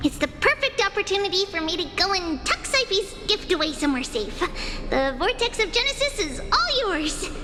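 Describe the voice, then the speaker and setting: In a cartoonish character voice of extremely high pitch, the speaker goes at a moderate pace over loud background noise. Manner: breezy, teasing.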